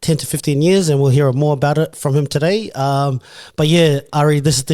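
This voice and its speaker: Very fast speech in an Australian accent, with a dark, mellow tone and fairly even intonation. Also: man, very clean recording, silent background. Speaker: podcast host. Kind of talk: casual interview.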